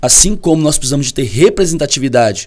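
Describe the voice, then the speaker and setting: A man with a Goiás accent at a fairly quick pace. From Brazil, Goiás. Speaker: professor. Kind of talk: podcast discussion.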